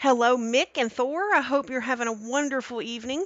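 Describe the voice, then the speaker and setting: At a moderate pace, a woman speaks in a high pitch, the sound dry with no echo and the background quiet. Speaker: cooking streamer. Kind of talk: live stream cooking tutorial. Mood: warm, cheerful. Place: kitchen.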